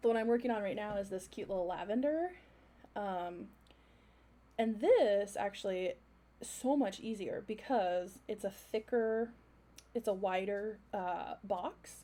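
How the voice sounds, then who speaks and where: With a dark, mellow tone, a woman talks at a fairly slow pace with ordinary pitch variation and long, frequent pauses. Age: 30s. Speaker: art livestreamer. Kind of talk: casual chat. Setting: livestream at home. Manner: rambling filler-heavy.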